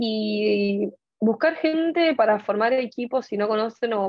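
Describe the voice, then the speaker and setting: Fairly high-pitched woman against a quiet background, the sound dry with no echo. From Argentina. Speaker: fashion marketing student; speaker. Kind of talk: panel discussion. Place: home room. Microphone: earbuds.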